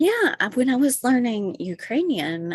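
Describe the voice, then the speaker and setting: A woman with a Kentucky accent speaks with lively intonation. The sound is dry and close with no echo, over a quiet background. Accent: unique accent, Kentucky. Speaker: stand-up comedian and writer. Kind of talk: casual interview. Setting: podcast recording.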